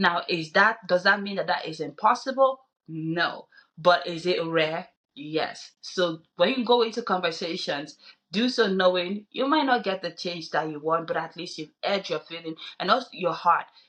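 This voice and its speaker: A woman with a non-native accent, fairly low in pitch, at a moderate pace, lively in intonation, with big swings in loudness. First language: not English. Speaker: podcast co-host. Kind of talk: casual discussion.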